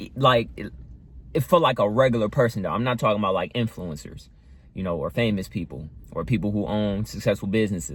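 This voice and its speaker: Talking at a very fast pace, a man uses a fairly low pitch with vocal fry and ordinary pitch variation. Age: 20s. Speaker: vlogger. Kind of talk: casual monologue vlog. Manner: casual, halting with many fillers.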